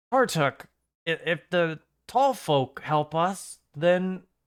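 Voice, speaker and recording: Over a very clean recording with a silent background, a man uses a put-on character voice, high in pitch and at a very slow pace. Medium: actual play. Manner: hesitant, timid.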